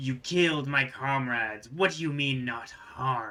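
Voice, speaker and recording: Using a put-on character voice, a man rumbles at a medium pitch and a fairly slow pace. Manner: angry, accusing.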